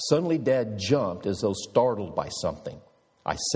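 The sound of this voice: Lively intonation carries through an unforced reading voice.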